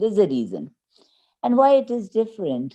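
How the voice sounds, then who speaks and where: A woman with a Pakistani accent speaks in a dark, mellow tone over a quiet background. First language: Urdu. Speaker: university English lecturer. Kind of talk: interview on live video chat.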